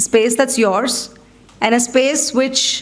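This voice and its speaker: The speaker has an Indian accent. Noticeable background noise and audible room echo fill the recording. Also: woman. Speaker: coaching federation board representative. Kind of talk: keynote speech. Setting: stage with audience. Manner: conversational.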